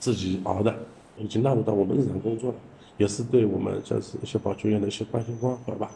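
A man speaks in a fairly low pitch with a dark, mellow tone. His delivery is monotone, flat and somewhat breathy. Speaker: sanitation department manager. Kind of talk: interview.

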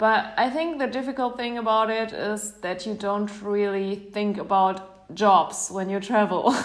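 A woman with a German accent speaks at a medium pitch and fairly slow pace with hardly any pauses, ordinary pitch variation, and audible room echo. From Germany. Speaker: traveler. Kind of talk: interview. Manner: hesitant, many fillers.

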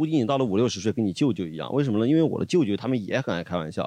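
A man talks at a very fast pace with a Sichuan accent against a quiet background. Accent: Sichuan Mandarin. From Luzhou, Sichuan. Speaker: podcast guest. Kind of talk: casual chat.

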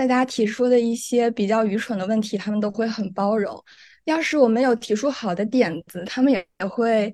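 Against a quiet background, a woman with a dark, mellow tone speaks at a moderate pace in a fairly high pitch with ordinary pitch variation. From mainland China, not Guangdong. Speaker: law student. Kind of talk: casual interview.

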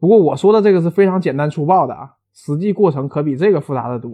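A man with a Northeastern Chinese accent talks at a fairly quick pace in an animated tone. His pitch is fairly high, with ordinary pitch variation. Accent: Northeastern Mandarin. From Northeast China. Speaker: university lecturer. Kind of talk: popular science talk.

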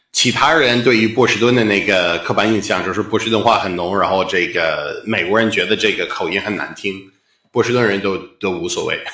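A fairly low-pitched man at a fairly quick pace, with audible room echo. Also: ordinary pitch variation. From US Northeast, Boston. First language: English (speaking Chinese). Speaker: stand-up comedian. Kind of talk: interview conversation. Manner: halting, with fillers.

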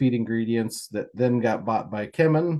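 Against a quiet background, a man with a US Midwestern accent talks at a moderate pace and medium pitch in a dark, mellow tone. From Kansas, US. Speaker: swine nutritionist. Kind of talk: interview.

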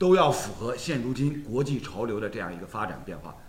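There is audible echo in the room as a man speaks. His voice is somewhat breathy, and his pace is moderate. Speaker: football talk show host. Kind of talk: casual chat.

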